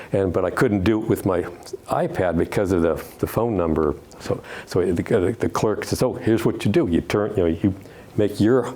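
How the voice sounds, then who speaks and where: A man with a fairly low pitch at a moderate pace, loudness very even, over noticeable background noise. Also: ordinary pitch variation. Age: 70s. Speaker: retired judge giving a travel talk. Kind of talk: Q&A after a club presentation. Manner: halting, many false starts and repetitions.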